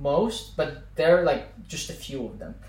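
Speaking at a moderate pace with a fairly high pitch and ordinary pitch variation, a man is heard over noticeable background noise. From Azerbaijan, Baku. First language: Azerbaijani. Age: 20s. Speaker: podcast guest, former student. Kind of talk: casual chat.

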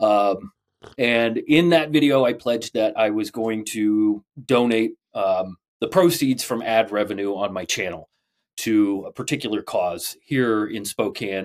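In a very clean recording with a silent background and a dry, close sound with no echo, a man with a plain, everyday voice speaks fairly slowly at a medium pitch with ordinary pitch variation. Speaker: woodworking podcast co-host. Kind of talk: casual chat.

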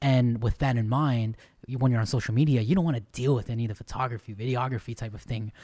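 Speaking at a very fast pace, a man has a dark, mellow, somewhat breathy voice. The recording is very clean, with a silent background. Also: medium pitch for a man, fairly even intonation. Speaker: podcast host. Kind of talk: casual chat.

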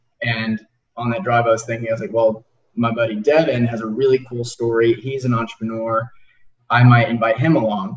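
A man's medium-pitched, somewhat breathy voice with an American accent, fairly even intonation and a fairly quick pace. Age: 20s. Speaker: podcast host. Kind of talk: interview. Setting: video call.

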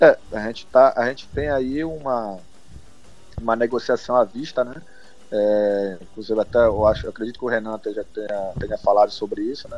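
Over music in the background, a man speaks at medium pitch with fairly even intonation and big swings in loudness. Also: moderate pace. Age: 30s. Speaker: football club commercial director. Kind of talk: interview. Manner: halting.

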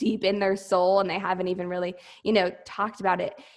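Using a plain, everyday voice, a woman with an American accent speaks at a fairly quick pace and a medium pitch. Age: 20s. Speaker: entrepreneur and former Air Force officer. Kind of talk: interview.

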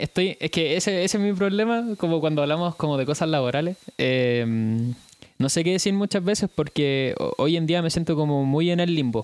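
A man talks at a moderate pace in an ordinary speaking voice, pitched fairly high. His intonation is lively, while his loudness stays very even. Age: 20s. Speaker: speech therapy student. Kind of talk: casual chat.

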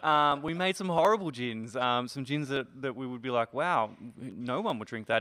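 An Australian-accented man speaks at a moderate pace and medium pitch. His pitch varies in an ordinary way. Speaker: distillery owner, former teacher. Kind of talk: casual interview.

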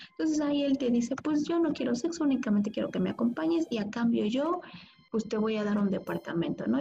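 A woman with a fairly high pitch at a very fast pace, over noticeable background noise. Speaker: podcast co-host. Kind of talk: casual chat.

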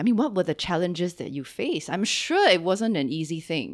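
A woman's fairly low voice with a Singaporean accent, very wide pitch swings, and a fairly quick pace, in a very clean recording with a silent background. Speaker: podcast host. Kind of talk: interview. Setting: studio. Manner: animated.

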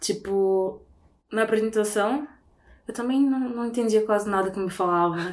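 At a moderate pace, a woman with a fairly high pitch and ordinary pitch variation speaks with long, frequent pauses. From Brazil, Belém (Pará). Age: 20s. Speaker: recent communication sciences graduate. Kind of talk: casual chat.

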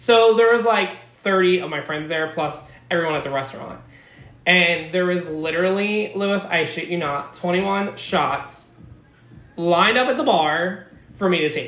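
Amid noticeable background noise, a man with an American accent speaks at a moderate pace and high pitch, with ordinary pitch variation. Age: 30s. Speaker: podcast host. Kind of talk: casual chat; scripted narration. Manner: animated.

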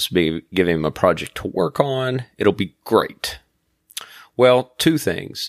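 A man speaks at a medium pitch and a fairly slow pace, with very wide swings in pitch. The sound is dry and close with no echo, on a very clean recording with a silent background. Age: 40s. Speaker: podcast host, domain investor. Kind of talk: solo podcast monologue. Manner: casual, with frequent filler words.

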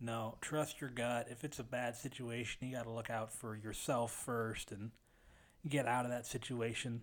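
A man talks at a moderate pace in a medium pitch. His intonation is flat and monotone. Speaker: sound engineer. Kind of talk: casual chat.

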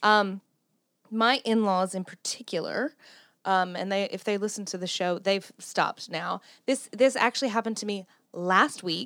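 On a very clean recording with a silent background and a dry, close sound with no echo, a woman of medium pitch speaks with a Southern US accent. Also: ordinary pitch variation, moderate pace. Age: 30s. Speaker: podcast host. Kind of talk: casual chat.

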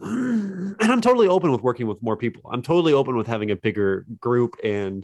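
A man with an American accent and a plain, everyday voice, medium pitch, lively intonation and a fairly quick pace against a quiet background. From West Virginia (Fairmont). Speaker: indie game developer. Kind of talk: casual interview.

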